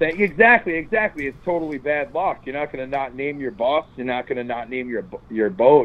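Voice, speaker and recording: A man with a fairly high voice speaks with lively intonation. It is an ordinary speaking voice. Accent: American. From New York suburbs. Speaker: touring rock band member. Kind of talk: casual interview.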